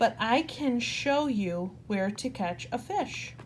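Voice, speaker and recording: A woman uses a put-on character voice, fairly high in pitch and at a fairly slow pace. Background noise is clearly audible. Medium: read story. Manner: gentle, motherly.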